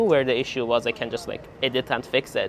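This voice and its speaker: Someone with a Persian accent speaks at a fairly quick pace over noticeable background noise. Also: man. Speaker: PhD student vlogger. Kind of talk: casual vlog.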